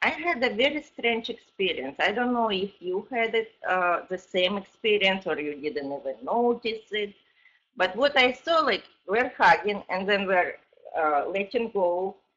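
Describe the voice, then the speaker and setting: With a normal speaking voice, a woman talks at a fairly slow pace in a medium pitch, her intonation lively. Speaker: audience questioner. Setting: online call.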